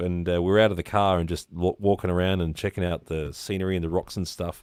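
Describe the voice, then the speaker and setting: On a very clean recording with a silent background and a dry, close sound with no echo, a man with an Australian accent speaks in a very deep, low pitch and fairly even intonation. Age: 40s. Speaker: live stream interview host. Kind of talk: casual chat.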